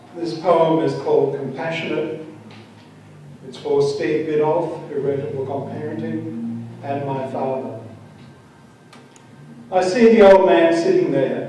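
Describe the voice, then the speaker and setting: Fairly slow speech from a man with a fairly high voice, ordinary pitch variation, big swings in loudness, and long, frequent pauses, with noticeable background noise. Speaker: poet. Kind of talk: poetry reading. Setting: live reading at a venue.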